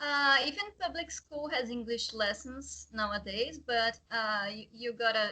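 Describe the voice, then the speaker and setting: The voice has a bright, sharp tone and a Portuguese accent. It moves at a fairly slow pace. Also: woman. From Brazil. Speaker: guest. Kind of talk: casual chat. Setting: video call.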